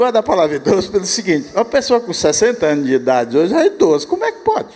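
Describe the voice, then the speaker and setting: Noticeable background noise sits behind a man talking at a very fast pace. His pitch swings very widely. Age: 80s+. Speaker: church elder. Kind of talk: conference talk conversation.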